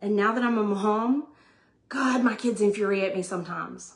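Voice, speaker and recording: A woman keeps a moderate pace and ordinary pitch variation as she talks. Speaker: vlogger sharing family life advice. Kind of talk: casual monologue. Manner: loud; animated.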